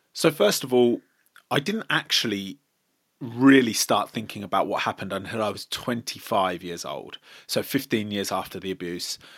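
A man's fairly low voice, a plain, everyday voice with ordinary pitch variation, at a moderate pace in a very clean recording with a silent background. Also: dry, close sound with no echo. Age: 30s. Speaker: abuse awareness advocate. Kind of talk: interview.

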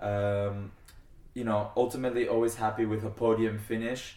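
A man with a New Jersey accent speaks at medium pitch. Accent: American (New Jersey). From US (California, then New Jersey), Argentinian family. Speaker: international fencer and student athlete. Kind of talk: casual interview.

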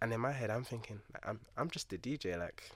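In a London accent, a man speaks at a fairly quick pace with ordinary pitch variation, on a very clean recording with a silent background. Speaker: DJ. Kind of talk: casual chat.

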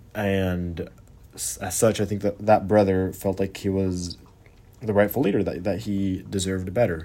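This man's voice is dark and mellow, pitched fairly low. He keeps a moderate pace with fairly even intonation. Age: young (19). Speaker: podcast host and political science student. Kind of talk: solo podcast monologue. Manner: halting, with frequent fillers and restarts.

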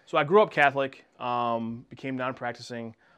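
A man with an American accent and a plain, everyday voice, medium in pitch, at a moderate pace with fairly even intonation, over a quiet background. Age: 30s. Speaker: chamber of commerce director, former sports broadcaster. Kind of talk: casual chat.

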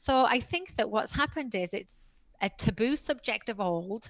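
A woman speaks with a British accent at a fairly high pitch and a moderate pace. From Britain. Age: 50s. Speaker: personal trainer and author. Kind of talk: interview.

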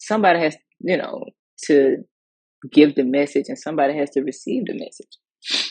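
A woman with an American accent has a very deep, low pitch and lively intonation. She keeps a moderate pace with long, frequent pauses. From US South, Mississippi. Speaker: podcast host. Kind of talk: personal monologue on faith and mental health. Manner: casual, conversational with fillers.

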